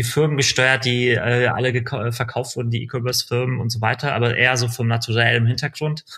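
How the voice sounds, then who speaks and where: The man's voice sits at a medium pitch, its intonation monotone and flat. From Berlin, Germany. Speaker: digital media executive. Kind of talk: interview conversation.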